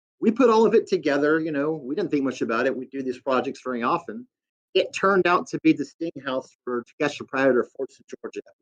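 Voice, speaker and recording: Very fast speech from a man with a fairly high pitch and lively intonation. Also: big swings in loudness. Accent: Southern US. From US Deep South. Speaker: guest. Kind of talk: casual chat.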